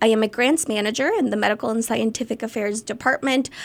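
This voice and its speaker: A woman with a fairly high-pitched voice talks at a very fast pace. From Ecuador (Quito). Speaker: grants manager and community volunteer. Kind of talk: radio interview.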